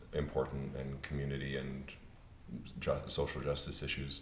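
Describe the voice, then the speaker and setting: A man speaks with a very deep, low pitch and vocal fry. His moderate pace comes through audible room echo. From Pennsylvania. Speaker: opera singer. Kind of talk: panel discussion.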